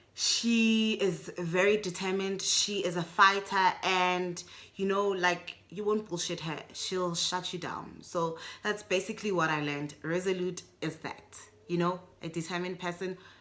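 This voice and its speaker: In a Botswana accent, a woman speaks fairly slowly with a medium pitch, a bright, sharp tone and monotone, flat intonation. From South Africa. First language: Setswana. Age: adult. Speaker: booktuber. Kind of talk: casual video book review. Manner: chatty, with frequent fillers.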